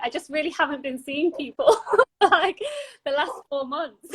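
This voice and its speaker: In a London accent, a woman speaks at a moderate pace with a high pitch. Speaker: podcast host. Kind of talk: casual interview chat.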